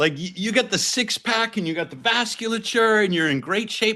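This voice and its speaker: Over a quiet background, a man uses a raised, projected voice. He speaks at a fairly quick pace with a bright, sharp tone. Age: 60s. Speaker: ice bath company founder and professor. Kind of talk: interview explanation. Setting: remote call.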